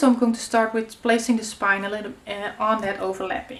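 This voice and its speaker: A woman speaks with a Dutch accent at a moderate pace and fairly high pitch. Her pitch varies in an ordinary way, and there is noticeable background noise. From Netherlands. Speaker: craft youtuber. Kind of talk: tutorial. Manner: casual, hesitant with many fillers.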